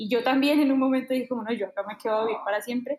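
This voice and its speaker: Her pitch is high for a woman, and her intonation stays fairly even. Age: 20s. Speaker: illustrator and baker. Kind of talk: casual interview.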